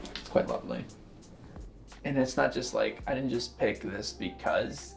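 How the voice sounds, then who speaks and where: Music plays in the background. A man with an American accent talks at a moderate pace. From Southern California, Long Beach. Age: 20s. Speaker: software engineer. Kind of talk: casual interview. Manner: casual, filler-heavy.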